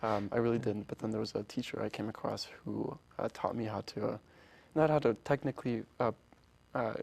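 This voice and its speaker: Vocal fry marks a man's fairly quick delivery, with fairly even intonation in a dry, close sound with no echo. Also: medium pitch for a man. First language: Polish. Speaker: orchestra founder. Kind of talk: interview. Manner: halting, many restarts.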